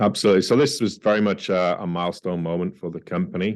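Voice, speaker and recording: A man's very deep, low voice with fairly even intonation at a fairly quick pace, over a quiet background. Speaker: mining company CEO. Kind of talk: interview. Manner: hesitant, many fillers.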